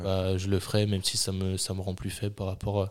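The recording is very clean with a silent background. A man talks at a moderate pace in a fairly low pitch with monotone, flat intonation. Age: 20s. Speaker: sports podcast host, student coach. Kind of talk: casual chat.

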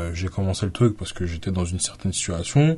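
A man's somewhat breathy voice, fairly low in pitch, with a dark, mellow tone. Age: 20s. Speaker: podcast host. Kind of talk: solo podcast monologue. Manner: halting, many fillers.

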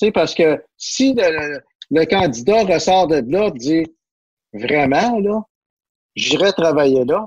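Very slow speech from a man, broken by long pauses that come often. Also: fairly high pitch for a man, lively intonation, very even loudness. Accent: Quebec. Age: 50s. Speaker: business journalist. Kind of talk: casual chat.

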